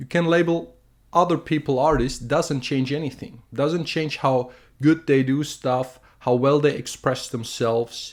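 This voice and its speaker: In a German accent, the speaker goes at a fairly slow pace. The recording is very clean, with a silent background. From Germany. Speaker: artist and video creator. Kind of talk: opinion monologue. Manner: halting, with fillers and restarts.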